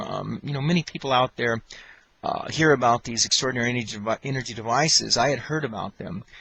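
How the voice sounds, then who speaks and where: A man's bright, sharp tone at a medium pitch, with ordinary pitch variation and a fairly quick pace. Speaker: electrical engineer giving a testimonial. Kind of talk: testimony. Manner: fast; halting with many fillers.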